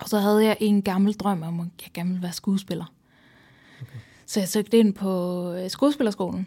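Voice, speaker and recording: A somewhat breathy woman with a Swedish accent and a dark, mellow tone, medium in pitch with ordinary pitch variation and big swings in loudness, at a moderate pace, in a very clean recording with a silent background. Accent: Swedish accent in Danish. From Sweden. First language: Swedish (speaking Danish). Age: 30s. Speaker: psychiatric patient guest. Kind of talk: casual interview conversation.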